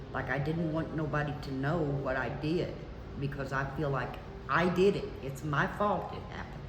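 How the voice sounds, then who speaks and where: In a room with audible echo and noticeable background noise, a woman speaks at a moderate pace. Her pitch is very deep and low, and her intonation is fairly even. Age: 70s. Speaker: scam victim. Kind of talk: testimony.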